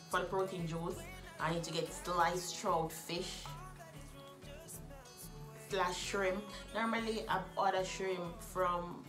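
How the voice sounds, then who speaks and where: Over clear background music, a woman with a fairly low pitch speaks very slowly in a monotone, flat intonation, leaving long, frequent pauses. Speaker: vlogger. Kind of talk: casual vlog chat. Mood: cheerful, laughing. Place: home room. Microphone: phone near.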